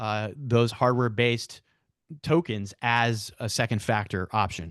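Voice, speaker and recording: This is a man with a medium pitch. The background is quiet. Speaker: software product owner. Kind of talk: livestream tutorial. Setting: livestream. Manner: fast.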